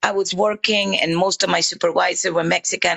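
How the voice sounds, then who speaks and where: A woman speaks with a Caribbean accent. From Honduras, Afro-Honduran Caribbean coast. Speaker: livestream guest. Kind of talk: casual chat. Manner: animated.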